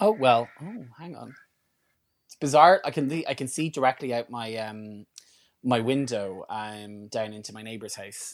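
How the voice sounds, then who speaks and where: With an Irish accent, a man speaks at a moderate pace and medium pitch, with ordinary pitch variation. The recording is very clean, with a silent background. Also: big swings in loudness. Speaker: podcast co-host. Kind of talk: angry comic rant, sweary mock-outrage at a stranger. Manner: fired-up and profane, hammering repetition of 'not hustling'; rambling, stumbles and repeats words.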